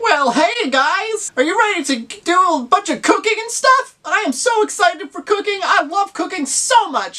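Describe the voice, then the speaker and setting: A put-on character voice at an extremely high pitch, moderate pace and hardly any pauses. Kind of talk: comic overacting. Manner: bubbly, excited.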